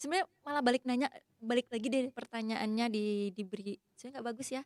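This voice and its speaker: A woman speaks very fast in a fairly high voice with fairly even intonation. The sound is dry and close, with no echo. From Sumatra. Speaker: university lecturer. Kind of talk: casual podcast interview.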